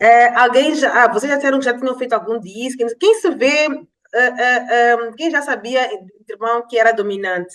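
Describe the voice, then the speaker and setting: A woman talks at a moderate pace in a high voice. Her pitch varies in an ordinary way. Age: 40s. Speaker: life and business coach. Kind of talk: online masterclass lecture.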